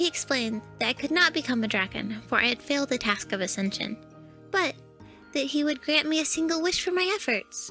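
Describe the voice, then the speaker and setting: A female-sounding put-on character voice, high-pitched and fairly quick, over clear music in the background. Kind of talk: character lore story narration. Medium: read story.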